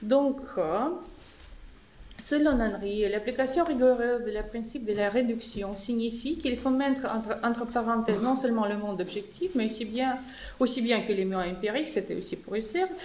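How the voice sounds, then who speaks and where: Amid audible room echo, a woman with a non-native accent speaks at a moderate pace and a fairly high pitch, with ordinary pitch variation. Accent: foreign accent in French. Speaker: philosophy professor. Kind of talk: academic conference talk. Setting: conference room with audience. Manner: halting, many hesitations.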